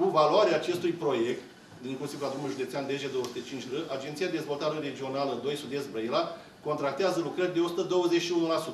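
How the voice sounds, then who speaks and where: A man's fairly high voice at a moderate pace, with ordinary pitch variation, light background noise and audible room echo. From Romania. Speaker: public official. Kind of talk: formal public speech. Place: meeting room. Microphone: podium.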